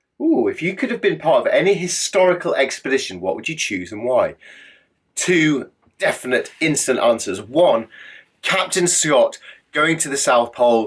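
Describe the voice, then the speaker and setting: With an English accent, a man speaks at a moderate pace. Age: middle-aged. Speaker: adventurer. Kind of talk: casual Q&A monologue. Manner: animated.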